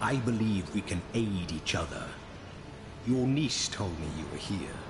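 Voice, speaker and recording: Loud background noise surrounds a man putting on a character voice. His tone is calm, his pitch fairly low, and his pace moderate. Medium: video game. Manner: calm, measured, grave.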